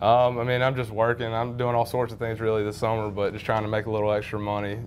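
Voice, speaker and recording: A man with a Southern US accent, medium pitch, monotone, flat intonation and a very fast pace, over noticeable background noise. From North Carolina, Wendell. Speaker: college baseball pitcher. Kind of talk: sports interview.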